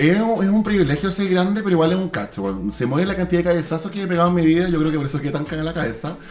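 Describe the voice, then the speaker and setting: A man with a Chilean accent talks at a very fast pace in a high pitch, animated in tone with ordinary pitch variation, amid noticeable background noise and audible room echo. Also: hardly any pauses. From Chile, San Antonio coast. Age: 20s. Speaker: TikToker. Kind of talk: casual chat.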